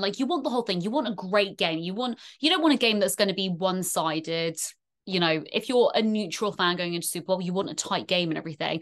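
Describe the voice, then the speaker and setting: Speaking in a British accent, a woman uses an animated tone at a medium pitch. She talks at a very fast pace. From UK. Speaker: NFL fan content creator. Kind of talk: casual chat.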